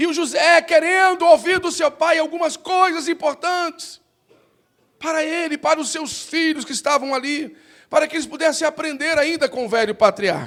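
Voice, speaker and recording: An extremely high-pitched male voice at a moderate pace, with ordinary pitch variation. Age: 50s. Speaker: pastor. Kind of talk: sermon. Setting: church.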